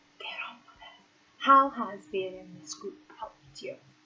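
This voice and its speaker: A woman speaks with lively intonation at a moderate pace. Her tone is bright and sharp. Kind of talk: casual talk to camera.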